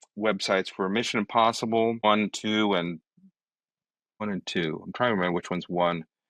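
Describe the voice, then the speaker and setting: A man with fairly low pitch and fairly even intonation at a fairly quick pace, dry and close with no echo, over a quiet background. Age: 60s. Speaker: creative director. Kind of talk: casual interview conversation. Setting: podcast interview. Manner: halting, many fillers and restarts.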